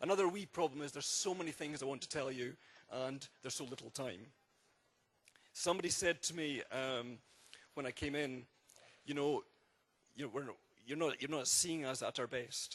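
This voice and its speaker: A man with a Scottish accent, fairly high in pitch, at a moderate pace broken by long, frequent pauses. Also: ordinary pitch variation. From Scotland. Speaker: architect. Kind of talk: public presentation.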